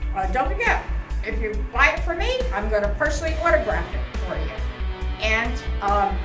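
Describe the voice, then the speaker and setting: A woman talks at a moderate pace. Clear music plays in the background. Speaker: motorcyclist and author. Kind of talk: casual announcement to camera. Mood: cheerful, proud. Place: shop. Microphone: phone near.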